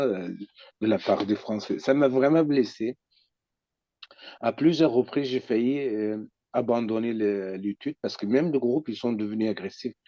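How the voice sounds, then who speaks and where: Speaking at a fairly slow pace, a man with a Kurdish accent uses a medium pitch and ordinary pitch variation. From Iraqi Kurdistan. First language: Kurdish (speaking French). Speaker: psychoanalyst. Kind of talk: personal testimony. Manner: halting.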